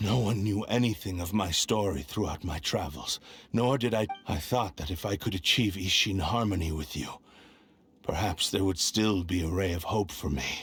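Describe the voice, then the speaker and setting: Moderate pacing in a put-on character voice. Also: man, very deep, low pitch for a man. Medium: video game. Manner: formal, grave.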